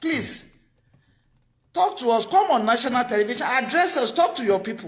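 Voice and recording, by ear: A woman speaks at a moderate pace with a fairly high pitch, a fairly bright tone and lively intonation.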